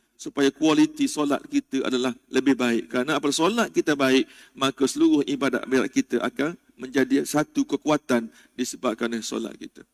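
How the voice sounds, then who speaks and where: A man with a plain, everyday voice speaks at a fairly quick pace in a fairly high pitch with ordinary pitch variation. The sound is dry and close, with no echo. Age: 40s. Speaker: religious teacher. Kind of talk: mosque religious lecture. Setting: mosque.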